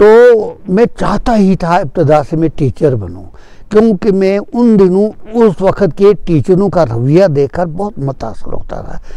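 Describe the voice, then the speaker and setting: A man with a high pitch and a dark, mellow tone. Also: lively intonation. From Kashmir, Tral. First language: Punjabi (speaking Hindi). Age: 80s+. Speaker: author and retired teacher. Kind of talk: interview testimony. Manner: halting, with filler sounds.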